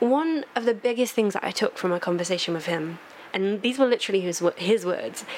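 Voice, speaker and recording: Lively intonation at a fairly quick pace, over noticeable background noise. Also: woman. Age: 20s. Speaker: podcast guest. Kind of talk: casual chat.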